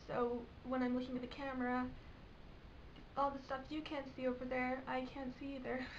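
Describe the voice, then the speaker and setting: A woman's high-pitched voice with long, frequent pauses and audible room echo. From England. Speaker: vlogger. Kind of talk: casual vlog. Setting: bedroom.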